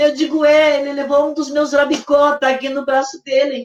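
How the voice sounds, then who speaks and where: Speaking at a moderate pace, the woman has a high pitch and monotone, flat intonation. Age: 60s. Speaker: bereaved mother. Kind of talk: testimony. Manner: halting.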